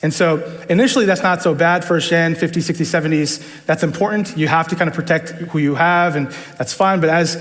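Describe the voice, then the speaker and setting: A man talks at a fairly quick pace with an American accent and a fairly high pitch. Noticeable background noise runs underneath. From New York, the Bronx. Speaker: church leadership team member. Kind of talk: testimony. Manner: casual, with many fillers.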